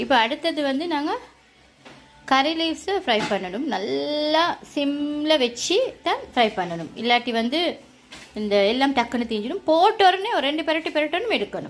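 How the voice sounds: A woman talks at a moderate pace with a high pitch. Her pitch swings widely.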